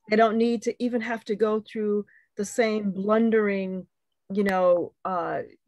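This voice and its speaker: A woman's unremarkable speaking voice, medium in pitch with ordinary pitch variation, fairly slow, in a dry, close sound with no echo. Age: 60s. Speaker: poet. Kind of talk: panel discussion.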